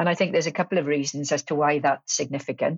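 A woman with a Welsh accent speaks in a very deep, low pitch. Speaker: politics professor. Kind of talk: interview.

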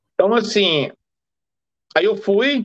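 A man's high voice in a Brazilian accent at a very slow pace with ordinary pitch variation. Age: 40s. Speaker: freemason. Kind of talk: casual interview.

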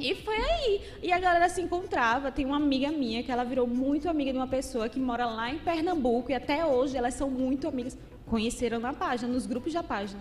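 Someone speaks at a very fast pace with a Paraíba accent and ordinary pitch variation. Noticeable background noise runs underneath. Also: woman, high pitch for a woman. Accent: Northeastern Brazilian (Paraíba). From Paraíba, Brazil. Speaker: content creator. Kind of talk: casual interview chat.

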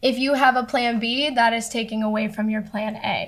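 This woman's fairly high, somewhat breathy voice keeps a moderate pace. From South Florida, US. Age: 20s. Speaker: singer-songwriter. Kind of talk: casual interview.

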